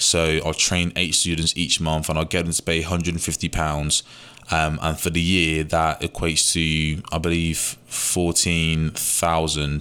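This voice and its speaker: A bright, sharp tone with a British accent, at a fairly slow pace. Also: man. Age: 20s. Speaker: podcast host, young entrepreneur. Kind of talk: casual solo monologue. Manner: energetic, informal.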